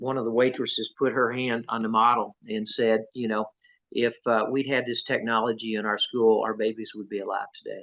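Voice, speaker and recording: With a quiet background, a man speaks in monotone, flat intonation. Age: 60s. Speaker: tech company co-founder. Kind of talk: interview. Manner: halting, many fillers and repeats.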